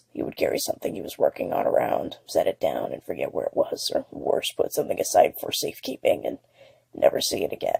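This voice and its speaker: A man's put-on character voice, raspy and extremely high-pitched, at a very fast pace. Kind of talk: horror audiobook narration. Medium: read story.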